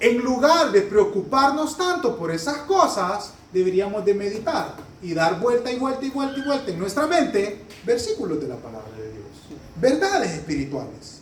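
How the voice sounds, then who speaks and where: A man speaks in a high pitch with very wide pitch swings and big swings in loudness, at a moderate pace. Noticeable background noise and audible room echo are present. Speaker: pastor. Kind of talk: sermon.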